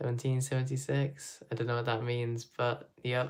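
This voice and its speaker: Fairly slow delivery in a British accent. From UK. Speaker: Lego builder streamer. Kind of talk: casual live stream chat while building. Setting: live stream at home.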